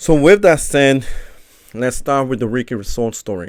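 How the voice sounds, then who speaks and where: With a Spanish accent, this speaker keeps a moderate pace. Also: man. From Mexico, raised in Chicago from age seven. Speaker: personal trainer and podcast host. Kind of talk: solo podcast monologue.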